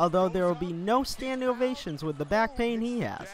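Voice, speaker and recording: Noticeable background noise accompanies a man with a high pitch and lively intonation. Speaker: sports reporter / broadcaster. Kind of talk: TV sports news reporter package.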